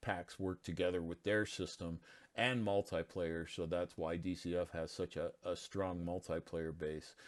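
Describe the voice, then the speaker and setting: Someone speaks quietly at a fairly slow pace. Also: man. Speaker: indie game developer. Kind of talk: casual game walkthrough narration. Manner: quiet, hesitant.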